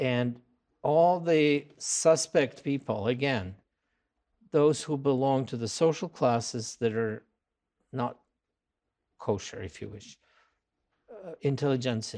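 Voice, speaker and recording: In a Russian accent and a dark, mellow tone, a man speaks at a very slow pace with long, frequent pauses, ordinary pitch variation and big swings in loudness, on a very clean recording with a silent background. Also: medium pitch for a man. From Russia, Moscow. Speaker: anthropology professor. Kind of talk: interview. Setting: on location at a college campus. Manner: hesitant with many fillers.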